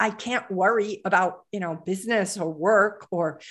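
Against a quiet background, a woman with an ordinary speaking voice talks at medium pitch with fairly even intonation. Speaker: performance coach for traders and executives. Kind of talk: podcast interview.

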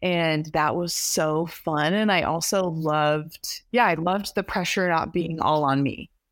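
Against a silent background in a very clean recording, a woman uses an ordinary speaking voice, fairly low in pitch, at a fairly slow pace with ordinary pitch variation. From New York. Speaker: indie singer-songwriter. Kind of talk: casual interview chat.

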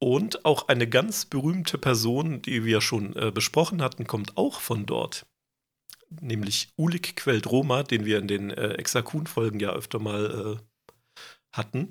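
At a very slow pace, a man with medium pitch speaks with lively intonation and big swings in loudness. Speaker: podcast co-host presenting lore research. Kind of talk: casual chat.

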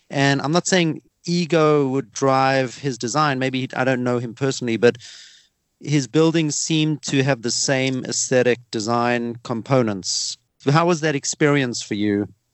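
This man has a South African accent. His pitch shows ordinary variation. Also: medium pitch for a man, fairly slow pace. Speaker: podcast host. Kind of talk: casual interview.

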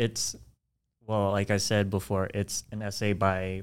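The recording is very clean, with a silent background. A man speaks fairly slowly at a fairly low pitch. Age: 20s. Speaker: podcast co-host. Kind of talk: casual chat.

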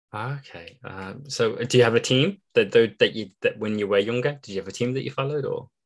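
Speaking fairly quickly with hardly any pauses, a man with a British accent uses a medium pitch and ordinary pitch variation, his loudness swinging widely over a quiet background. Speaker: podcast host. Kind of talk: interview.

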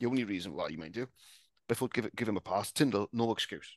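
In a Welsh accent, a man talks at a medium pitch, the sound dry and close with no echo against a quiet background. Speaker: podcast guest, Dolphins fan. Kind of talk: casual chat.

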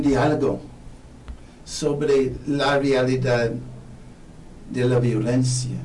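With a non-native accent, the man speaks at a very slow pace in a fairly high pitch, and audible room echo fills the recording. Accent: foreign accent in Spanish. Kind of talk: radio interview.

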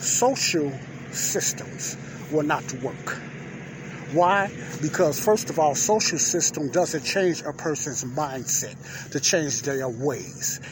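Noticeable background noise sits behind a man with an American accent and a fairly high pitch. He talks at a very slow pace with ordinary pitch variation. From Chicago. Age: 50s. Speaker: podcast host. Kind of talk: opinion monologue.

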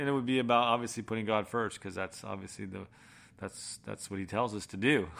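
A man with an American accent. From Massachusetts (Boston area), then Florida. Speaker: former professional golfer. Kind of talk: testimony. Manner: casual, halting with fillers.

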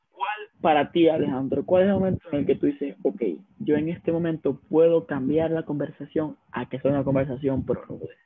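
A man with a Venezuelan accent speaks at a fairly quick pace. His pitch is fairly high, with ordinary pitch variation. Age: 20s. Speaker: podcast co-host. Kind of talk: casual chat.

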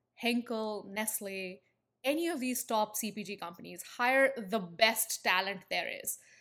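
In an Indian accent, a woman with a bright, sharp tone and a fairly high voice speaks at a fairly slow pace on a very clean recording with a silent background. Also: big swings in loudness. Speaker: branding agency founder. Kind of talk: interview.

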